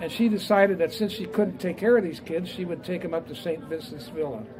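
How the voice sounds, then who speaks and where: Against crowd noise and audible room echo, a man with a Midwestern US accent talks in a high pitch with lively intonation. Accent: US Midwest. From Indiana, Fort Wayne area. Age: 80s+. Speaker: business founder and author. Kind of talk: speech to a live audience. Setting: talk at a restaurant event with audience. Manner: hesitant, many fillers.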